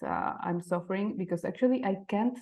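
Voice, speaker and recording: The speaker has a Mexican accent. The pace is moderate. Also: woman. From Mexico City. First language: Spanish. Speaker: type designer. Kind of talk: presentation. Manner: halting.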